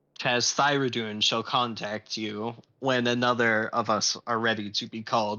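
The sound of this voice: Fairly even intonation from an unforced reading voice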